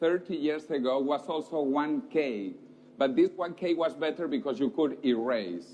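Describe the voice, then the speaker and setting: With a Spanish accent, a man speaks at a moderate pace. His pitch is fairly high and swings very widely. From South America. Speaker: futurist speaker. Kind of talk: lecture.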